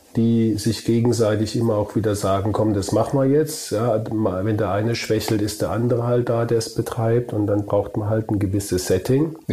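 A man speaks at a moderate pace with a fairly low pitch, fairly even intonation and hardly any pauses over noticeable background noise. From Germany, Kurpfalz. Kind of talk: casual chat.

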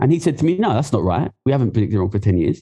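Very wide pitch swings run through a voice with a dark, mellow tone. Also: man. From East London, England. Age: 30s. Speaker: economist and former trader. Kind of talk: casual interview chat.

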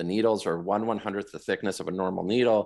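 In a very clean recording with a silent background, a man speaks with a fairly low pitch. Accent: Western Canadian. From Western Canada, Vancouver area. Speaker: cancer survivor and marathon runner. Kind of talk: casual interview.

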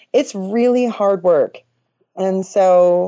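Her voice is an unremarkable speaking voice, set at a medium pitch for a woman. The pitch varies in an ordinary way. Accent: American. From US Midwest, Oshkosh, Wisconsin. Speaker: farmer and online influencer. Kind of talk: casual interview.

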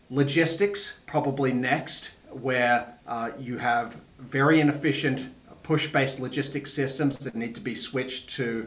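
There's a man with an Australian accent speaking at a fairly slow pace with ordinary pitch variation. Background noise is noticeable. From Australia (Tasmania). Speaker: venture capital investor. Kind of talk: interview.

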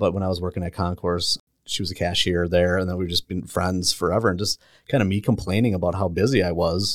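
Very deep and low in pitch, a man talks at a very fast pace with fairly even intonation, the sound dry and close with no echo on a very clean recording with a silent background. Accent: American. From Milwaukee area, Wisconsin. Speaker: realtor. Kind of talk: casual chat. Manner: laughs often.

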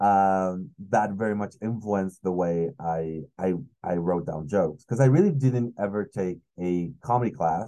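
A man in a Spanish accent, his fairly low voice dark and mellow with ordinary pitch variation, speaks at a moderate pace over a quiet background. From Mexico City. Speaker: comedian. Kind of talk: casual chat.

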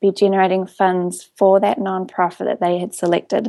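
A woman with a New Zealand accent, in a dark, mellow tone. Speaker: coupon website CEO. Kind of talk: interview.

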